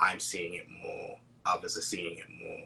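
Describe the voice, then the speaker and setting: A man in a British accent, at a fairly slow pace. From Britain. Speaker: spiritual counselor and poet. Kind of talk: casual interview chat. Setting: online live stream.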